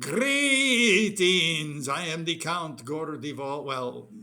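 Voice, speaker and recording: In a put-on character voice, a man talks at a very slow pace and a fairly high pitch. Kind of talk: theatrical in-character greeting.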